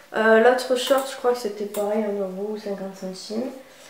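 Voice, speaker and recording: The speech moves at a moderate pace with fairly even intonation against noticeable background noise. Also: woman. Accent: southern French. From southern France. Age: 20s. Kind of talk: casual clothing haul talk to camera.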